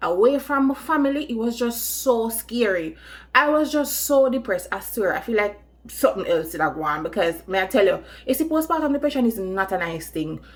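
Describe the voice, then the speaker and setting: Music plays in the background while a woman talks at a fairly quick pace. Her high voice moves in very wide pitch swings. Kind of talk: storytime, casual talk to camera.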